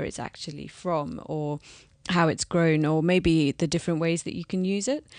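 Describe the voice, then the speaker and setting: A woman speaks at a moderate pace with a London accent, her pitch fairly low and her intonation fairly even. The background is quiet. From London, England. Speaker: business founder.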